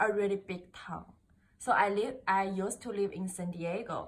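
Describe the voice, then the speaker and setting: Against noticeable background noise, a woman with a Chinese accent talks at a moderate pace and a medium pitch. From China. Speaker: international student. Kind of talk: interview. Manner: halting.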